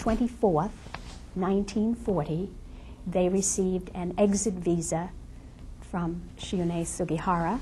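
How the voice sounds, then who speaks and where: A woman speaks at a fairly slow pace with fairly even intonation. The room echo is audible. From Lithuania. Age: 70s. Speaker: Holocaust survivor. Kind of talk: testimony.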